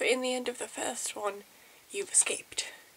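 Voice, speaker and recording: A woman talks in a soft-spoken way. Noticeable background noise sits behind her. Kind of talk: ASMR game review.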